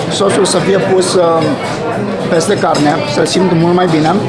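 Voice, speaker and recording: Over crowd noise in the background, a man talks at a fairly slow pace. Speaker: food reviewer. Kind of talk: casual vlog food review. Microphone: phone near.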